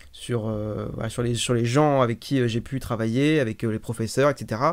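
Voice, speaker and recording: On a very clean recording with a silent background, a man speaks at a medium pitch and moderate pace with fairly even intonation. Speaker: streamer. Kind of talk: testimony. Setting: live stream. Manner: halting.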